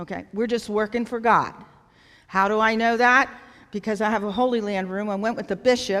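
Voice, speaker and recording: Over a silent background in a very clean recording, the voice keeps a fairly even intonation. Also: woman. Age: 60s. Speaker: nonprofit founder. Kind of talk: talk at a church event.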